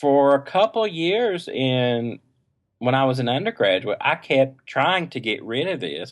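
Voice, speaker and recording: In an East Tennessee accent, a man talks at a fairly high pitch. His pace is fairly slow and his intonation lively. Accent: East Tennessee Southern. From East Tennessee, near Knoxville. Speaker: choral conducting doctoral student. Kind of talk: podcast interview.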